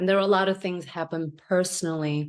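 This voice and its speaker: In a Korean accent, a woman speaks at a moderate pace with monotone, flat intonation against a quiet background. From South Korea, moved to US at 14. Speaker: chiropractor. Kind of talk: interview. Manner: halting, many fillers.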